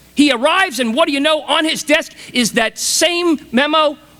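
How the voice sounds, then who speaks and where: In a raised, projected voice at a moderate pace, the speaker sounds enthusiastic and passionate, with a bright, sharp tone and lively intonation. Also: man. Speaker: motivational speaker. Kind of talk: commencement speech to a large audience. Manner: enthusiastic, passionate, storytelling.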